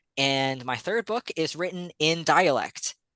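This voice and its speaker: The recording of a man with an American accent has a dry, close sound with no echo and a quiet background. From Virginia, Appalachian corner. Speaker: horror author. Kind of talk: bookstore author talk. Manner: casual, filler-heavy.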